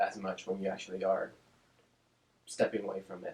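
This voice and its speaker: The speaker is a man. He talks at a moderate pace. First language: Spanish. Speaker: speech-language pathologist. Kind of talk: interview. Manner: casual, with fillers and repetitions.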